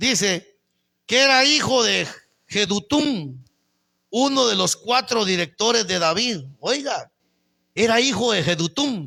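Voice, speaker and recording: A man projects a raised, high, bright and sharp voice with very wide pitch swings and very even loudness, speaking very slowly with long, frequent pauses. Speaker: pastor. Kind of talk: sermon. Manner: animated.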